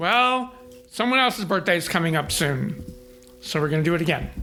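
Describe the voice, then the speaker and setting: With very wide pitch swings and a fairly quick pace, the voice comes through noticeable background noise. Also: man. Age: 60s. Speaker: photographer. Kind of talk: interview storytelling.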